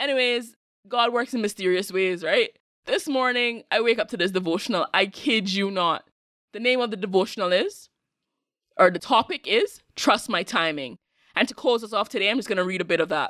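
In a very clean recording with a silent background and a dry, close sound with no echo, a woman with an American accent talks at a fairly quick pace, her fairly high, bright, sharp voice showing ordinary pitch variation. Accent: Caribbean, sounds somewhat American. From Cayman Islands. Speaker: podcast host. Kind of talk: casual solo monologue podcast.

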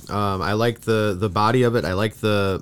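This man has an unremarkable speaking voice. His pitch is fairly low. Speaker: podcast co-host. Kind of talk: casual chat. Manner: laughs often, casual, filler-heavy.

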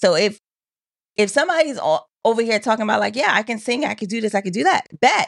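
Rattling along at a very fast pace, a woman uses lively intonation and a fairly high pitch, with vocal fry. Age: 30s. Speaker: podcast co-host. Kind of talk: casual chat.

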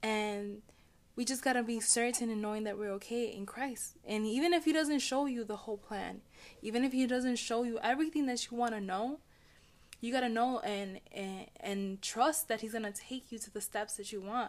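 A woman speaks at a fairly high pitch and moderate pace. She has a plain, everyday voice with ordinary pitch variation. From Chicago, Puerto Rican family. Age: 30s. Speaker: podcast host, business coach. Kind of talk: casual chat.

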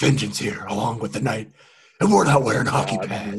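A man speaks in a put-on character voice at a medium pitch. His delivery is raspy and fairly quick. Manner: exaggerated, dramatic.

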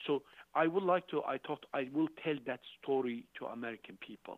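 The speaker is a man with a Turkish accent and a fairly high pitch. He talks at a moderate pace with ordinary pitch variation. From Turkey, Urfa. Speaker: charity founder. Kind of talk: interview.

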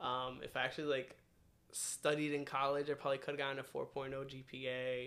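A man talks with a New Jersey accent. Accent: New Jersey American. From New Jersey suburbs (Randolph). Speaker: podcast guest. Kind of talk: casual chat.

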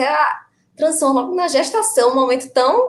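A woman with a normal speaking voice, lively intonation and a moderate pace. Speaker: vegan mother. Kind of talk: live stream conversation.

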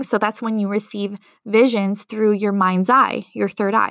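In a very clean recording with a silent background, a woman speaks in a fairly high pitch with monotone, flat intonation. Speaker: spiritual mentor and psychic medium. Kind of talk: solo podcast monologue with channeling.

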